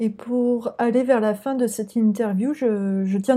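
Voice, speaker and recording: A woman's fairly high pitch, showing ordinary pitch variation, belongs to an ordinary speaking voice. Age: 20s. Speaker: podcast host and career coach in training. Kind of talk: interview.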